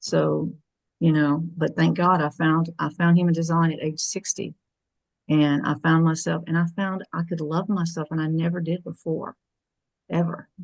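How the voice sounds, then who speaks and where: Against a quiet background, a woman talks at a moderate pace. Her pitch is fairly low and her intonation monotone and flat. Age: 60s. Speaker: call participant sharing personal story. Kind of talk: testimony. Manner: halting.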